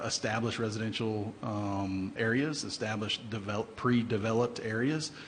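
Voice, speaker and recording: A man's medium-pitched voice at a moderate pace, with audible room echo and noticeable background noise. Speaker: city engineer. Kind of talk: public meeting presentation. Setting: council chamber. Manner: hesitant, many fillers.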